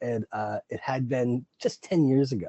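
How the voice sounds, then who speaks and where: A man speaks with an American accent. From Long Island, New York. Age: 60s. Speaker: podcast host. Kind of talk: casual interview chat. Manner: halting, many repeated words.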